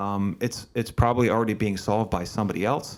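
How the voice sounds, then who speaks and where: In a very clean recording with a silent background, a man with an American accent speaks fairly quickly in an unremarkable speaking voice, fairly low in pitch, with fairly even intonation. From Pennsylvania, Berks County. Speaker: podcast host. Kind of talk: interview podcast. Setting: video recording.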